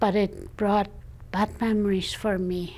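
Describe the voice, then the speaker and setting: A woman's medium-pitched voice with vocal fry and ordinary pitch variation. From Frog Lake First Nation, Alberta, Canada. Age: 70s. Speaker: First Nations elder. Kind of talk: oral history testimony. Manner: halting.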